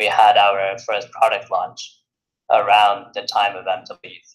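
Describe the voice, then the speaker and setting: A man with an American accent takes a fairly slow pace. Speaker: software developer. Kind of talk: interview. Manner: halting, many fillers.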